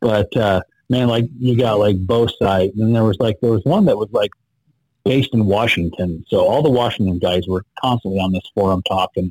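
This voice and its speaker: A man with an unremarkable speaking voice, fairly low in pitch with ordinary pitch variation, talks at a moderate pace. The sound is dry and close with no echo, and his loudness stays very even. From Idaho, small rural town. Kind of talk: casual interview.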